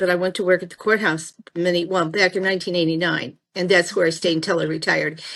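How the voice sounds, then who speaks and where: Bright and sharp in tone, a woman with an American accent talks at a medium pitch with fairly even intonation. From Missouri (Crawford County). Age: 60s. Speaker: retired courthouse clerk. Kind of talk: casual interview chat.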